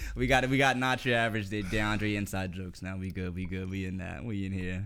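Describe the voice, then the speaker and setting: A man with a very deep, low voice talks very fast with hardly any pauses. His pitch varies in an ordinary way, and the room echo is audible. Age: 30s. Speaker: podcast co-host. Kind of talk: casual chat.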